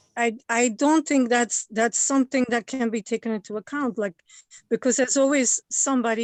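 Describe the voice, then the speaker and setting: Against a quiet background, a woman with a non-native accent speaks at a fairly quick pace in a high voice with fairly even intonation, the sound dry and close with no echo. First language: not English. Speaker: member of the public giving comment. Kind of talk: public comment at a government meeting. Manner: halting, many repeated words.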